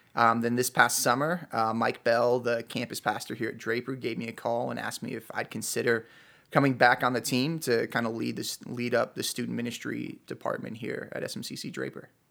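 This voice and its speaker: In an American accent, a man at medium pitch talks at a fairly quick pace with hardly any pauses, using monotone, flat intonation. His tone is bright and sharp with vocal fry, and the recording is very clean with a silent background. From US Midwest, Chicago. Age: 30s. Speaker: youth pastor. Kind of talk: casual chat.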